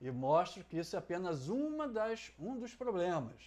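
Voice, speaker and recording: A man speaking at a fairly slow pace. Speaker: essay writing teacher. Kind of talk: tutorial.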